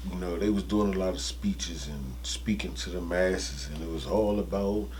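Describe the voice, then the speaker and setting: With lively intonation, a man speaks in a very deep, low pitch, and audible room echo surrounds him. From Washington D.C. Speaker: actor and comedian. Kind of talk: interview. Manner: halting, many fillers.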